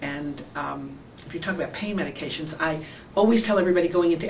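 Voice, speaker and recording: Heard through noticeable background noise and audible room echo, a woman talks in a fairly low voice. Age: 60s. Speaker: surgery patient. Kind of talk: testimony. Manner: halting.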